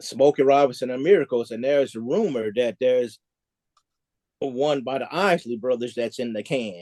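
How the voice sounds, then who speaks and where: Speaking with an American accent, a man uses a dark, mellow tone at medium pitch with ordinary pitch variation. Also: dry, close sound with no echo. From US South, Nashville Tennessee and Kentucky. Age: 60s. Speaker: music historian guest. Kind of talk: interview. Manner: halting, repeats words.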